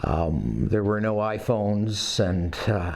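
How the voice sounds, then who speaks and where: With a Canadian accent, a man speaks at a fairly low pitch and with fairly even intonation. Audible room echo and noticeable background noise come through. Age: 60s. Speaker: Old West reenactor. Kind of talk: interview. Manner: halting, many fillers.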